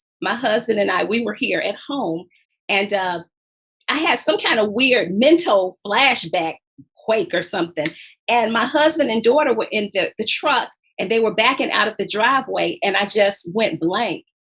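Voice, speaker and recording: Her voice is fairly high in pitch, with lively intonation and a moderate pace. It's an unremarkable speaking voice, belonging to a woman. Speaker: author. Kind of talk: interview.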